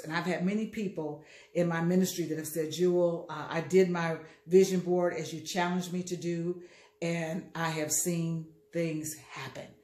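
In a room with audible echo, a woman speaks at a fairly low pitch with monotone, flat intonation. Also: moderate pace. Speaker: motivational speaker. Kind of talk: casual vlog chat. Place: kitchen. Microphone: phone near.

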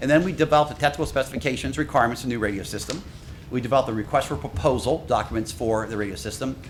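Lively intonation marks this man's voice at a medium pitch. He talks at a very fast pace. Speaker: radio system consultant. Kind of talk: technical presentation.

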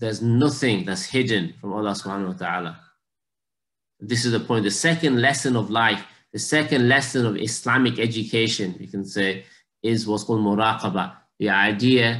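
A man at a moderate pace, with ordinary pitch variation. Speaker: religious teacher. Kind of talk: lecture. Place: home room. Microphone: video call.

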